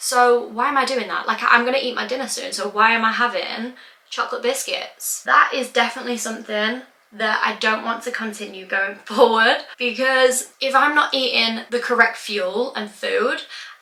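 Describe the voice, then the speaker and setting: Against noticeable background noise, a woman speaks at a high pitch and moderate pace with fairly even intonation. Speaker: lifestyle vlogger. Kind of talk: casual chat.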